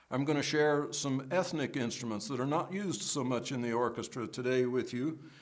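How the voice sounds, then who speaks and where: In a space with audible room echo, a man with a fairly high pitch talks at a moderate pace using fairly even intonation. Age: 60s. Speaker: orchestral percussionist and composer. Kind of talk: instrument demonstration; interview. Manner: conversational with fillers.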